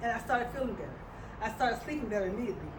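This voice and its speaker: Amid noticeable background noise and audible room echo, a woman talks at a high pitch with ordinary pitch variation. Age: 70s. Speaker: health product presenter. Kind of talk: testimony. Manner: halting.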